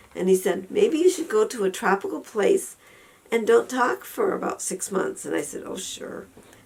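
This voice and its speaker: In an American accent, the speaker shows big swings in loudness amid noticeable background noise. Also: woman, moderate pace. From Western New York. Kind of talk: casual talk to camera.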